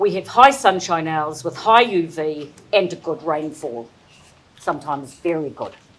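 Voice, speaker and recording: A woman speaks in a New Zealand accent with lively intonation. Her loudness swings widely. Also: fairly low pitch for a woman, moderate pace. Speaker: presenter on horticulture and cropping. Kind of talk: presentation. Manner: hesitant. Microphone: too quiet for room acoustics.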